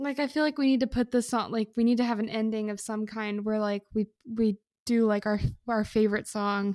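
A woman with an ordinary speaking voice talks fairly quickly at a fairly high pitch, on a very clean recording with a silent background and a dry, close sound with no echo. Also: fairly even intonation. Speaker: podcast co-host. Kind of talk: casual comedic banter. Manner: joking, playful.

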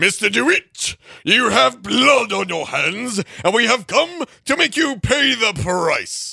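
A man does a put-on character voice, high-pitched and raised, projected outward. He speaks at a fairly slow pace. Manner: dramatic, theatrical flair.

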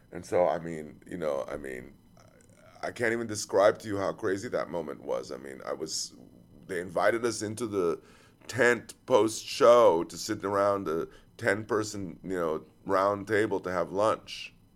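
Music plays in the background as a man talks in a fairly low voice with ordinary pitch variation. His loudness swings a lot. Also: moderate pace. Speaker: podcast host. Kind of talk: casual chat. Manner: halting.

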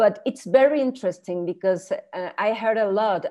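Spanish-accented speech from a woman. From Chile, raised in Mexico. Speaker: art historian, professor and author. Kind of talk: casual interview conversation. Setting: video call.

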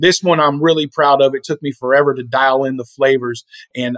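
A man with a normal speaking voice, fairly high in pitch, at a fairly quick pace. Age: 40s. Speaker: small business owner. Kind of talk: casual chat.

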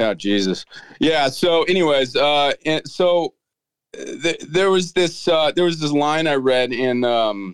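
In an unremarkable speaking voice, a man with an American accent talks at a fairly slow pace in a fairly high pitch. His intonation is lively and his loudness very even. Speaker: singer-songwriter. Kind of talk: casual chat.

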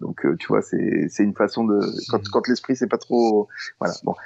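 Behind this male speaker, things are quiet. He talks at a medium tempo, his intonation fairly level. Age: 50s. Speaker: illustrator, former advertising art director. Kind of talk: casual interview. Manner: halting, with many repetitions.

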